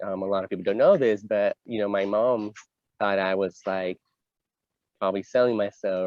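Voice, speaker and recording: A man with a Spanish accent, fairly low pitch, a monotone, flat intonation and a fairly quick pace. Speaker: LGBT community advocate. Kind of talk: interview conversation.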